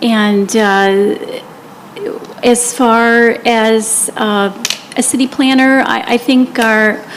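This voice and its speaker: A woman talks at a fairly high pitch with noticeable background noise behind her. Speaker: city council candidate. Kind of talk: candidate debate. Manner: quiet.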